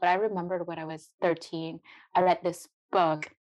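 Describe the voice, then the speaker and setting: A woman's fairly low voice with a Vietnamese accent, against a quiet background. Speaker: biotech entrepreneur. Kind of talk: interview.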